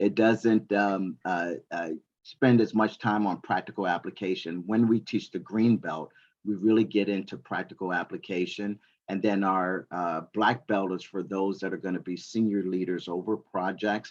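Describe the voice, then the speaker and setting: Against a quiet background, a man with a fairly low pitch talks at a moderate pace. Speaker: certification trainer, military veteran. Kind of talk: presentation to university students. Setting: classroom audience with online attendees. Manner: animated.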